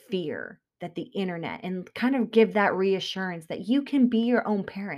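A woman's medium-pitched voice, a normal speaking voice, with ordinary pitch variation on a very clean recording against a silent background. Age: 30s. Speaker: podcast host, new mother. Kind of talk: solo monologue podcast.

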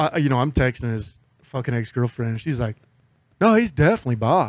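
A man speaks with lively intonation. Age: 40s. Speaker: podcast host. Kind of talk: casual chat. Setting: studio.

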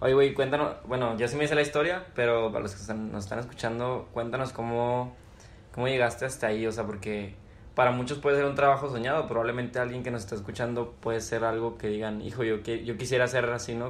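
Audible room echo surrounds a man speaking at a medium pitch and fairly quick pace with fairly even intonation. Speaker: podcast host. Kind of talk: casual chat.

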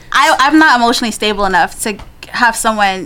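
Over noticeable background noise, a woman with a New York accent speaks at a fairly high pitch. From Queens, New York, Guyanese family. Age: 20s. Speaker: guest. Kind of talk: casual chat.

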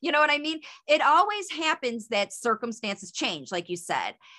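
A woman with a high, bright, sharp voice projects loudly, swinging widely in pitch on a very clean recording with a silent background. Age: 50s. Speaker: speech coach, former speech therapist. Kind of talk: interview.

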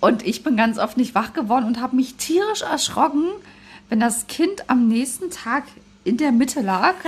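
With a high pitch and lively intonation, a woman speaks at a moderate pace and very even loudness. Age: 30s. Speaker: parenting podcast co-host. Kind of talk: casual chat.

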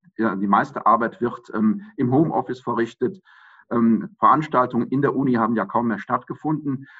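A man has an unremarkable speaking voice at a medium pitch. He speaks at a moderate pace with ordinary pitch variation. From Germany, Aachen. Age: 50s. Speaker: mayoral candidate, lawyer. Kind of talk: interview. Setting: video call.

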